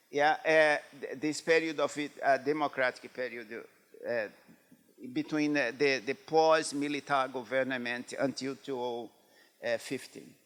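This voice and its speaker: A man speaks slowly with a Brazilian Portuguese accent. His pitch is fairly high and his intonation fairly even. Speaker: epidemiology professor. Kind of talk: lecture. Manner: halting, many fillers.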